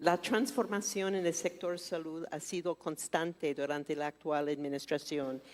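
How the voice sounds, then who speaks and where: A woman with a non-native accent, very slow, her fairly low pitch showing ordinary pitch variation. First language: not Spanish (speaking Spanish). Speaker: forum moderator. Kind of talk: business forum Q&A.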